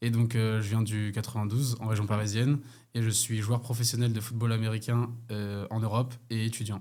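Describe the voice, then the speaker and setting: Recorded very cleanly over a silent background, a man with a dark, mellow tone and medium pitch speaks at a fairly quick pace. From France, Paris region (Hauts-de-Seine). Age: 20s. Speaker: professional American football player. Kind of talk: interview. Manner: casual, animated.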